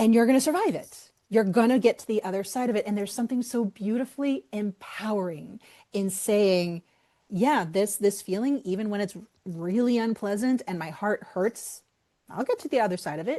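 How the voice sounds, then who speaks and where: Animated in tone, a woman speaks with an American accent at a moderate pace. Her pitch is fairly high, and it varies in an ordinary way. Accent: Boston accent, slips out on some words. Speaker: author. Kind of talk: podcast interview.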